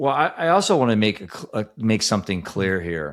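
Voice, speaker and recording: This man talks at a moderate pace on a very clean recording with a silent background. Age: 60s. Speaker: grieving father and recovery advocate. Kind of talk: casual chat.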